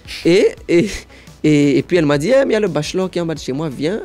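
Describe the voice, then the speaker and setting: A man's voice with ordinary pitch variation, with music in the background. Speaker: impressionist and sapologist. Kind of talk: interview answer.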